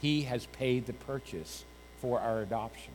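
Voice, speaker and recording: Amid audible room echo, a man speaks at a medium pitch with ordinary pitch variation. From New Hampshire, rural. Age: 50s. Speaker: pastor. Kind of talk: sermon.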